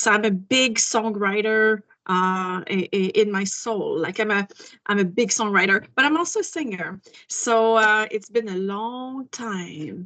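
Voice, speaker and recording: A woman's fairly high, bright and sharp voice with a French accent, ordinary pitch variation and a fairly slow pace. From Quebec. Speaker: singer-songwriter. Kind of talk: interview.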